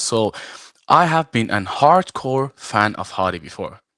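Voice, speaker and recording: A man with an Iranian accent speaks at a fairly slow pace. His intonation is lively, and the sound is dry and close with no echo. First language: Farsi. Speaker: arm wrestler and referee. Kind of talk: live show interview. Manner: halting, many fillers.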